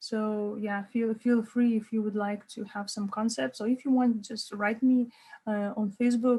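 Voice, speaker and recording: A woman with a Lithuanian accent, fairly high in pitch, somewhat breathy, with a dark, mellow tone at a fairly slow pace. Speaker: life coach. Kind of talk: online workshop. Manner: halting, many repeated words.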